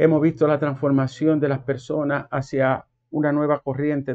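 Against a quiet background, a man with a fairly high voice talks at a moderate pace in a monotone, flat way. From Dominican Republic. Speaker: commentator. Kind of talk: monologue. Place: home room. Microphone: lapel.

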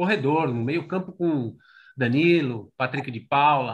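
Over a quiet background, a man with a plain, everyday voice speaks at a moderate pace and a fairly high pitch. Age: 40s. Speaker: football fan commentator. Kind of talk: casual chat. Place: home room. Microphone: video call.

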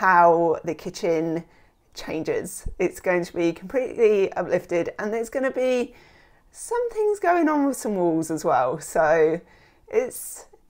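Her intonation is lively as the woman speaks at a fairly slow pace. The background is quiet. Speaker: home renovation vlogger. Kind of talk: casual vlog chat. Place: home room. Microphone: lapel.

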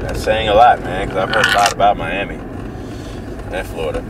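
Loud noise runs through the background. The sound itself is dry with no echo. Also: man. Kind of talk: casual vlog chat. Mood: relaxed, joking. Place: car. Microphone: camera far.

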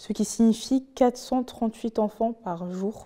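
A woman with a fairly high pitch and a dark, mellow tone, at a very slow pace against a quiet background. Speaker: podcast host. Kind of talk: interview. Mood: serious, calm. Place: studio. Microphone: lapel.

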